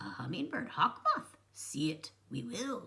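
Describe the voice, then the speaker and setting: Pitched in the middle, a put-on character voice moves at a fairly slow pace. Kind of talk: inverted Yoda-style syntax. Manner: firm, commanding.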